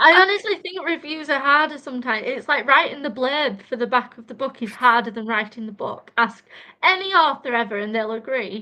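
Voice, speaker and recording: A woman with a high pitch and a bright, sharp tone speaks in a raised, projected voice with big swings in loudness. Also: lively intonation, fairly quick pace. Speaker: author. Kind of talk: casual interview chat. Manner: fast.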